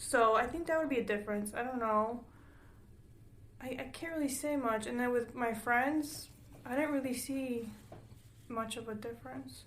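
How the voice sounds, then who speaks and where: Amid audible room echo, a woman with a high pitch talks at a moderate pace with fairly even intonation and long, frequent pauses. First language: Spanish. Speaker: podcast co-host. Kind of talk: casual chat.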